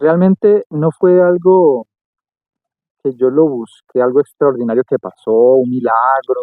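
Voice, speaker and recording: A man's fairly high voice with lively intonation at a very slow pace. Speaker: architect and singer, podcast guest. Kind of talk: casual interview chat.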